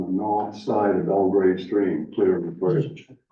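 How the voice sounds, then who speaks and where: A man with a fairly low pitch speaks at a very slow pace, with audible room echo. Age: 70s. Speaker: snowmobile club volunteer. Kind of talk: public meeting remarks.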